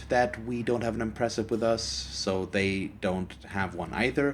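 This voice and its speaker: A man speaks with a German accent at a fairly low pitch. Vocal fry runs through his voice. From Germany. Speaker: gaming YouTuber. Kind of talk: let's play commentary. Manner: halting.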